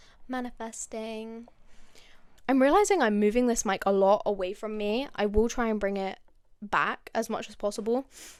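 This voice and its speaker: A woman speaks with an English accent at a fairly high pitch. The recording is very clean, with a silent background. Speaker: podcast host. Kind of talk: casual chat. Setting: at home. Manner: animated.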